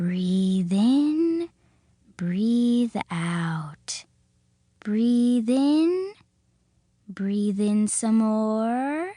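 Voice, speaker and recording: A woman uses a put-on character voice with a soothing tone and a fairly high pitch. She speaks at a very slow pace with long, frequent pauses. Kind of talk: hypnotic. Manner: slow, soothing.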